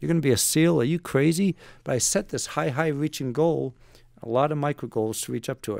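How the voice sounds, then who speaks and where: An ordinary speaking voice from a man, fairly high in pitch with ordinary pitch variation, at a fairly quick pace in a very clean recording with a silent background. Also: dry, close sound with no echo. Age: 60s. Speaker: retired navy special forces operator and author. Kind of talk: podcast interview.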